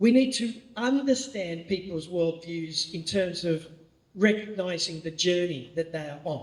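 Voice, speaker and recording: A high-pitched man with an Australian accent, at a fairly slow pace, with lively intonation and big swings in loudness. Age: 60s. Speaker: pastor. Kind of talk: training talk.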